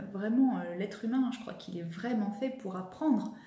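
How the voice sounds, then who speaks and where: A woman talks with a fairly high pitch and ordinary pitch variation. Audible room echo surrounds her voice. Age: 30s. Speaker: vlogger and personal development coach; vlogger, personal development coach. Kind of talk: vlog monologue to camera. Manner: animated. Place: home room. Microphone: phone near.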